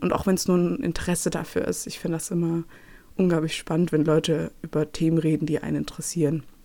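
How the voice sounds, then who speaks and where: A woman talks at a very fast pace in a fairly low pitch with a dark, mellow tone. Her intonation is fairly even, on a very clean recording with a silent background. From Nuremberg, Franconia, Germany. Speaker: podcast host, museology student. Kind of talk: casual monologue. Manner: many fillers, hesitant.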